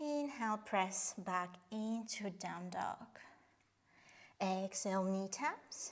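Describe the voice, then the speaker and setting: Speaking at a very slow pace, a woman talks with a non-native accent. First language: not English. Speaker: yoga instructor. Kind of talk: guided workout instruction; casual chat. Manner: halting.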